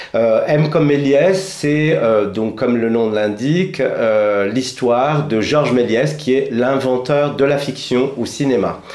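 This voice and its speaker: Amid noticeable background noise, a man speaks at a very slow pace, with ordinary pitch variation and very even loudness. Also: medium pitch for a man. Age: 50s. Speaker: theatre director. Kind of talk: radio interview.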